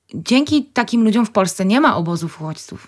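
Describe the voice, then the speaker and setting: At a fairly quick pace, a woman talks in a fairly high pitch, a plain, everyday voice, over a very clean recording with a silent background. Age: 30s. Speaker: medical clown. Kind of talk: radio interview. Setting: radio studio.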